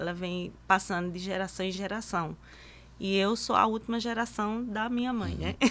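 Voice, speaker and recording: This woman's intonation is fairly even. She talks at a moderate pace. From Brazilian Northeast, Cariri region of Paraíba; Brazilian Northeast. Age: 50s. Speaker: master lacemaker; guest. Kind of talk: interview. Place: studio. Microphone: studio mic.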